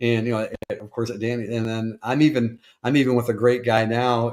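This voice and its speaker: At a medium pitch, a man with an American accent speaks in a monotone, flat intonation. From Detroit, US Midwest. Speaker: podcast host. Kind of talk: interview. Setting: live stream. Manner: halting.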